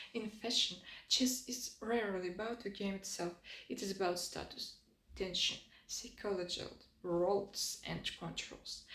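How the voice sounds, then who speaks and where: With vocal fry and a medium pitch, a woman talks at a moderate pace in a fairly even intonation. Audible room echo surrounds her voice. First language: not English. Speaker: designer and design video creator. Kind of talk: scripted lecture. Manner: non-native, slightly halting.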